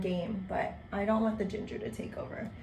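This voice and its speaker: Noticeable background noise runs through the clip. The woman's delivery comes at a fairly quick pace. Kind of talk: podcast host casual talk. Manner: upbeat.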